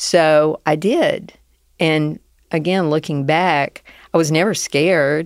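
A woman speaks in a Southern US accent with a very deep, low pitch. Her pace is very slow, her intonation fairly even and her loudness very even. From US South. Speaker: business owner. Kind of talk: interview conversation.

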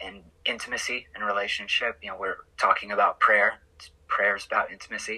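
Someone with an American accent talks at a fairly quick pace. Noticeable background noise can be heard. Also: man, big swings in loudness. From Oklahoma. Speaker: pastoral counselor. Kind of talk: casual chat. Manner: halting.

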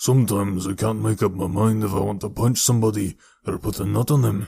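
A man uses a put-on character voice in a Scottish accent, raspy and guttural. His pitch is fairly low and he talks at a very fast pace.

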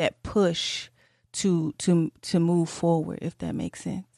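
A woman speaks at a fairly slow pace with fairly low pitch. The sound is dry and close with no echo, over a quiet background. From Detroit. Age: 30s. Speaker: podcast host. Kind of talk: casual interview chat.

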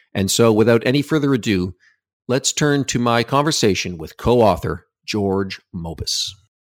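A man with an ordinary speaking voice talks at medium pitch and moderate pace, his intonation lively. The sound is dry and close with no echo, the recording very clean over a silent background. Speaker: podcast host and academic. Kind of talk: interview. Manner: formal, measured.

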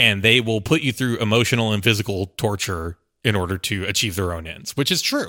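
Speaking at a fairly quick pace, a man with an American accent has a fairly low pitch, a bright, sharp tone and ordinary pitch variation, all on a very clean recording with a silent background. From rural Texas. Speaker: podcast producer. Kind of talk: casual chat.

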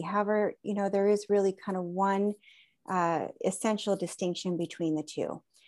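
A woman with an American accent has a normal speaking voice at medium pitch. She speaks at a moderate pace on a very clean recording with a silent background. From Southern California. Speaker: conservation biologist and aromatherapist. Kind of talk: interview conversation.

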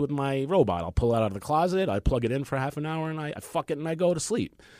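On a very clean recording with a silent background, a man in a New York accent speaks with lively intonation. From New York, Queens. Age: 40s. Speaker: comedian and actor. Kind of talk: casual chat.

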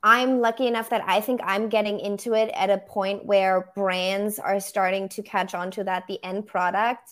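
A woman speaks with a German accent at a medium pitch and a fairly slow pace, her intonation flat and monotone. The recording is very clean, with a silent background. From Germany, Berlin. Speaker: photographer.

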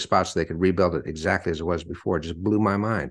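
Against a quiet background, a man speaks at a fairly quick pace. His very deep, low voice varies in pitch in an ordinary way. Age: 60s. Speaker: author and retired sales executive. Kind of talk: interview.

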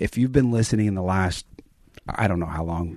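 A man's fairly low voice with a dark, mellow tone. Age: 30s. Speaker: podcast co-host. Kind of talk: casual chat. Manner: monotone, level energy.

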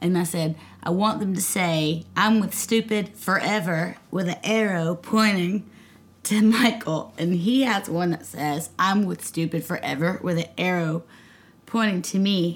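A woman with a Southern US accent speaks at a fairly slow pace and medium pitch, her voice somewhat breathy. Her pitch varies in an ordinary way. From US South, Nashville, Tennessee. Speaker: singer-songwriter. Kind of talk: casual chat.

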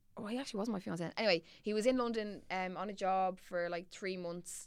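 A woman with a Dublin accent, medium in pitch, with ordinary pitch variation. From Ireland, Dublin. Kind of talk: casual chat.

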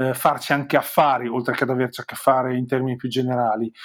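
On a very clean recording with a silent background, a man with a Romagnolo accent talks at a fairly quick pace. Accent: Romagnolo Italian. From Romagna, Forlì. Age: 40s. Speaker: digital marketing consultant. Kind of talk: interview.

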